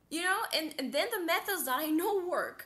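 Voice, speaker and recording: A woman projects a raised voice with a bright, sharp tone and lively intonation, speaking at a moderate pace. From Eastern Europe, small town. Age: 20s. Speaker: stream guest seeking advice. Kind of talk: personal conversation about struggles. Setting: online stream call. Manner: halting, many fillers and repeats.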